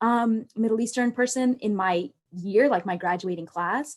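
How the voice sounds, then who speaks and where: The pitch varies in an ordinary way, and the pace is moderate. It is a plain, everyday voice, recorded very cleanly against a silent background. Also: woman. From United States. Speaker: alumni panelist. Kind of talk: panel discussion. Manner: casual, many filler words.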